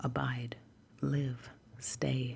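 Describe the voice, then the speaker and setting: Soft-spoken whispering comes through over noticeable background noise. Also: woman. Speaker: ASMR content creator. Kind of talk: ASMR reading of a dictionary. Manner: whispered, soft, hushed, with occasional slips out of whisper.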